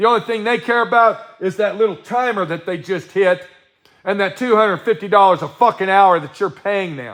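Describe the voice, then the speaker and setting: A loud, animated man's voice with an American accent, high in pitch, at a fairly quick pace. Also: ordinary pitch variation. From Colorado. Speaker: livestream host, self-employed artist. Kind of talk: casual livestream chat reading viewer comments. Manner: animated, ranting.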